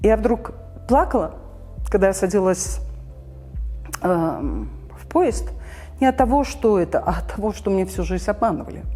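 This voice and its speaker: Over music in the background, a woman speaks at a fairly slow pace and often stops for long pauses. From Belarus, Minsk. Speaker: civil society activist, former orchestra director. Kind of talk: interview answer.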